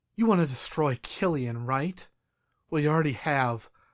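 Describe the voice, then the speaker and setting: In a gravelly, put-on character voice, a man speaks at a moderate pace. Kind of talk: hard-boiled first-person voice-over. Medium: audio drama. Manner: gritty, profane.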